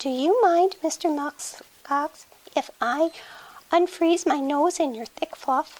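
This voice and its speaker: A female-sounding, put-on character voice rises to an extremely high pitch. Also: fairly slow pace. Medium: read story.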